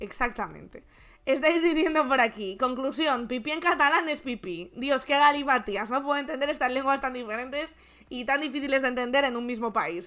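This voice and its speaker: Over a quiet background, a woman speaks at a moderate pace and high pitch, her animated tone bright and sharp, with ordinary pitch variation. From Spain. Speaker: political commentary streamer. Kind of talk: casual live stream chat. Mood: sarcastic, joking. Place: home room.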